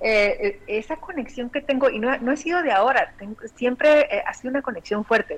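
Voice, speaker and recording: A high-pitched woman at a moderate pace, her intonation lively, with noticeable background noise. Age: 40s. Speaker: bioexistence consultant. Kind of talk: interview.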